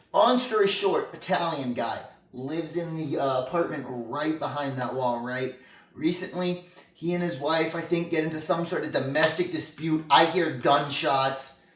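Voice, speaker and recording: The speech moves at a moderate pace with noticeable background noise present. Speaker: comedy interview host. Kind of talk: comedic scripted interview. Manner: halting, many fillers.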